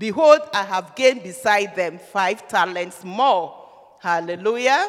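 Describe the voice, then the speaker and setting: The speaker has an animated tone and a fairly slow pace. Noticeable background noise runs underneath. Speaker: preacher. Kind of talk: sermon. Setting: church.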